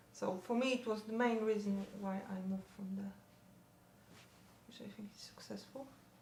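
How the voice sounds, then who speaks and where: A woman's medium-pitched voice with a Polish accent, fairly even intonation, big swings in loudness, long and frequent pauses, a moderate pace and noticeable background noise. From Poland. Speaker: parent of teenager. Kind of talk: interview.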